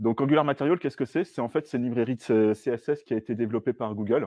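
A man at a fairly quick pace with ordinary pitch variation, a quiet background and a dry sound with no echo. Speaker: software developer; presenter. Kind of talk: tech talk with live demo. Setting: stage with audience. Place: meeting room.

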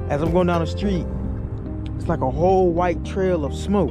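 Clear music plays behind a man who speaks fairly quickly, with a dry sound and no echo. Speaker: car owner vlogger. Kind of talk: casual vlog chat. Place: street. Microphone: phone near.

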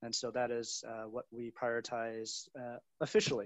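A man with an American accent, dry sound without echo, and a quiet background. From US. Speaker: venture capital investor. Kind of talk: panel discussion. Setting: video call. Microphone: video call.

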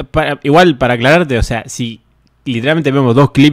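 A man talks at a very fast pace with ordinary pitch variation, in a dry sound with no echo and a quiet background. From Argentina. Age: 20s. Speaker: streamer and interviewer; streamer, interviewer. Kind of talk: casual livestream interview. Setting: livestream. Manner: hesitant, many fillers like eh and tipo. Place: home room. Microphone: studio mic.

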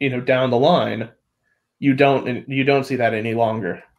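A man's fairly even intonation against a quiet background. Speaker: science discussion panelist; panelist. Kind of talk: casual science discussion. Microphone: video call.

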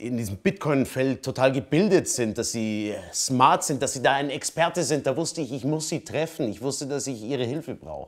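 The man talks at a moderate pace with ordinary pitch variation and hardly any pauses. The background is quiet. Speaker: actor playing wealthy client. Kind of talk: scripted drama dialogue. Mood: earnest, pleading, aggrieved. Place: home room.

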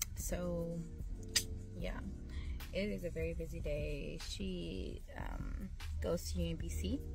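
Clear music plays in the background as a speaker with an American accent talks at a very slow pace with long, frequent pauses, in a dry sound with no echo. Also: woman. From Washington DC metro area. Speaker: entrepreneur and cosmetics chemistry student. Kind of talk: casual vlog talk to camera. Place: car. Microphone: phone near.

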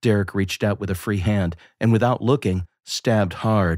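A man speaks in a very deep, low voice with a dramatic tone and fairly even intonation, recorded very cleanly against a silent background. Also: dry, close sound with no echo. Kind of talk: horror audiobook narration, scripted reading aloud. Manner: tense, hushed, dramatic storytelling with suspenseful pacing; measured and deliberate, building dread in the violent scenes.

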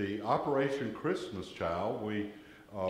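A man speaks with a Southern US accent and lively intonation, with audible echo from the room. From US South. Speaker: lay worship leader. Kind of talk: church announcements and prayer. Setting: church. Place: church. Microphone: camera far.

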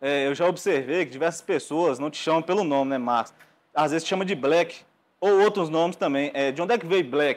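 With ordinary pitch variation, this man talks at a fairly quick pace. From Brazil. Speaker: podcast host. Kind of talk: casual chat. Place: studio. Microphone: lapel.

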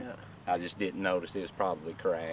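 The sound is dry with no echo, and light background noise can be heard. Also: man. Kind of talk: casual group chat to camera. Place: open country. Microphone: camera far.

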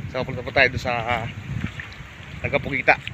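Background noise is noticeable. The sound is dry with no echo, and the pace is fairly quick. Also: man. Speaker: fishing vlogger. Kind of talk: casual vlog chat. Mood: cheerful, smiling. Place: beach. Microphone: phone near.

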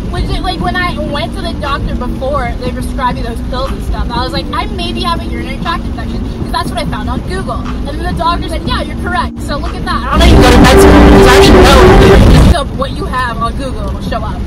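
Crowd noise fills the background as the speech runs at a very fast pace with hardly any pauses. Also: woman. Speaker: driver vlogger. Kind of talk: casual vlog chat. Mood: animated, amused storytelling. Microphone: phone near.

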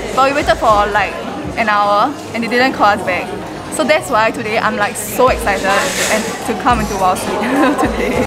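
A woman's voice, with ordinary pitch variation, is heard over background music. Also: moderate pace. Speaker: vlogger. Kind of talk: casual vlog chat. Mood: excited, cheerful. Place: cafe. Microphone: phone near.

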